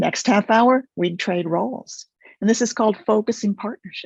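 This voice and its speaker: At a moderate pace, a woman with a fairly high, somewhat breathy voice speaks with ordinary pitch variation, the sound dry and close with no echo against a quiet background. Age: 70s. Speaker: focusing teacher, method developer. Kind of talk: interview.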